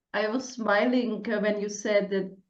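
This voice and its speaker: In a strong Czech accent, a woman speaks at a moderate pace with monotone, flat intonation and audible room echo. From Czech Republic. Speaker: podcast host, coach. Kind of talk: casual interview chat. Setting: podcast.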